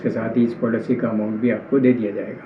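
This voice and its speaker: A medium-pitched man's flat, monotone voice with audible room echo and noticeable background noise. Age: 60s. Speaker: complainant, retired government employee. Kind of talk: testimony. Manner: halting.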